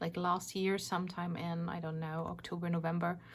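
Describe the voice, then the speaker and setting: Heard on a very clean recording with a silent background, a woman speaks with a German accent. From Germany. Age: 40s. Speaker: craft YouTuber. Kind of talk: casual vlog talk. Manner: hesitant, many fillers.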